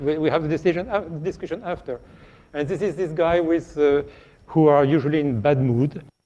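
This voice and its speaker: Speaking at a moderate pace, a man with a strong French accent has a high pitch and a dark, mellow tone. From France. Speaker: radiation protection scientist. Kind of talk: lecture. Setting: virtual lecture. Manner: halting, frequent repetitions.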